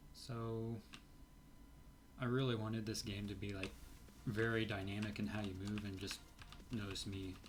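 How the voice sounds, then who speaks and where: Noticeable background noise and audible room echo surround a man with a fairly low pitch. His intonation is monotone and flat, broken by long, frequent pauses. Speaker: indie game developer. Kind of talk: let's play commentary. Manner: hesitant, many fillers.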